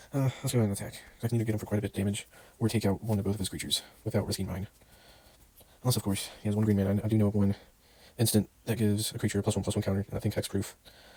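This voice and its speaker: Soft-spoken and very fast, the voice has a dark, mellow tone. Its intonation is monotone and flat, with long, frequent pauses. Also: man, fairly low pitch for a man. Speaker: gaming podcaster. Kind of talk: gameplay commentary. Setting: indoors at night, others asleep. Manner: soft-spoken, talking quietly; casual, hesitant.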